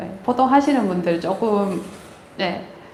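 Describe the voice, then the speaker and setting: Over noticeable background noise and audible room echo, a woman with a strong Gyeongsang accent speaks at a very slow pace with very wide pitch swings. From Gyeongbuk, Korea (Daegu). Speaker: agricultural researcher, grape breeder. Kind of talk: lecture. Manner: hesitant, many fillers.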